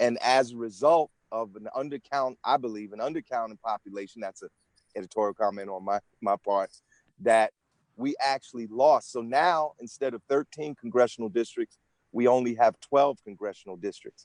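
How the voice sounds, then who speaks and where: Speaking in a plain, everyday voice, a man talks at a moderate pace with medium pitch and ordinary pitch variation. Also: dry, close sound with no echo. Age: 60s. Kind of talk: interview.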